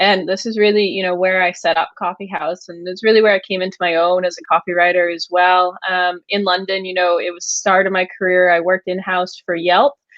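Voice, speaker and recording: With an American accent, a woman talks at a fairly quick pace and a medium pitch, her intonation monotone and flat, with hardly any pauses. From United States. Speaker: agency founder, copywriter. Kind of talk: podcast interview.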